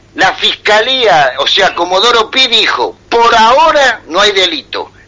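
Over noticeable background noise, a man with an extremely high pitch speaks at a very slow pace. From Buenos Aires province, Argentina. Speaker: war veteran. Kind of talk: radio call-in conversation.

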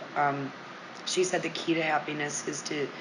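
Against noticeable background noise and audible room echo, a woman with an American accent speaks in a very deep, low pitch with fairly even intonation. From US Midwest, Monroe, Michigan. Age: 40s. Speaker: yoga studio owner and teacher. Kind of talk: casual interview chat.

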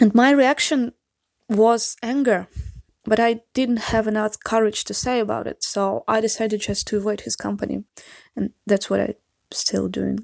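With a fairly high pitch and fairly even intonation, a woman speaks at a moderate pace in a dry, close sound with no echo. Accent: Russian. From Russia. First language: Russian. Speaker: listener leaving a voicemail. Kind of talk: voicemail testimony.

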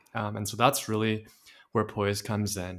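A man speaks in a fairly low, monotone voice with flat intonation. The recording is very clean, with a silent background. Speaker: startup founder. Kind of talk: interview. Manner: halting, many filler words.

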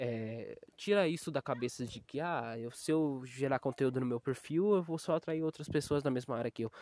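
Speaking at a moderate pace with hardly any pauses, a man uses a fairly high pitch and ordinary pitch variation. The sound is dry and close with no echo, over a quiet background. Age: 20s. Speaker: graphic designer. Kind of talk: casual monologue. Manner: halting.

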